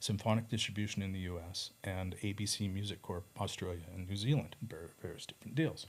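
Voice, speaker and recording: Using a normal speaking voice, a man talks fairly quickly at a fairly low pitch with ordinary pitch variation. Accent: Canadian. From Canada. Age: 60s. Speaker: record label owner and artist manager. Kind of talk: casual interview chat.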